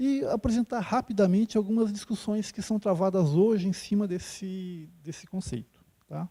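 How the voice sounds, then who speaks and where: A soft-spoken man with a high pitch and a dark, mellow tone talks at a moderate pace with hardly any pauses. His pitch varies an ordinary amount, and the sound is dry and close with no echo. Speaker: geology professor. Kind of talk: lecture. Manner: halting, many fillers. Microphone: quiet on the microphone.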